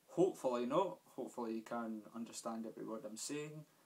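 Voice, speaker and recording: A man at a medium pitch with a Scottish accent, fairly even intonation, and a moderate pace. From Scotland. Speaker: gaming youtuber. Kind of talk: casual game review vlog. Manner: hesitant, many fillers.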